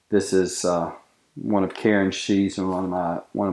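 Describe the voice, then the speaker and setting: A man's dark, mellow, fairly low voice in an Appalachian accent, at a moderate pace over a quiet background. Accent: Appalachian Southern US. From US South, western North Carolina (Boone). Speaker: knife maker. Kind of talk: interview. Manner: halting, frequent fillers.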